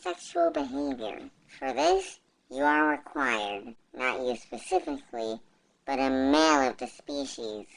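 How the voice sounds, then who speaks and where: This put-on character voice sits at a low-to-middle pitch and moves at a moderate pace. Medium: fan dub. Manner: formal, stiff, clinical.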